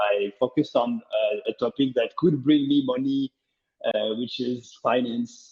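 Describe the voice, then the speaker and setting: A man with a French accent speaks at a fairly slow pace. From France. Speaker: open source startup founder. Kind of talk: interview.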